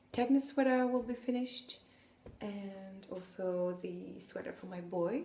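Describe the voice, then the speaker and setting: Speaking very slowly with a French accent, a woman uses lively intonation over noticeable background noise. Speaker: podcaster, knitter and sewist. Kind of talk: casual podcast monologue. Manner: hesitant, many fillers.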